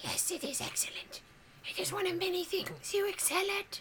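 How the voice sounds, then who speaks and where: A put-on character voice, raspy and extremely high in pitch, moves at a moderate pace. Clear background noise sits behind it. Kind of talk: polished, formal. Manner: evil, sly.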